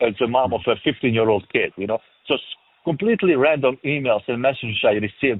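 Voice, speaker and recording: Talking at a very fast pace with ordinary pitch variation, a man speaks in a strong European accent. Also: medium pitch for a man. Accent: thick European. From former Yugoslavia. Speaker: film director and producer. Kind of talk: interview. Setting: remote interview.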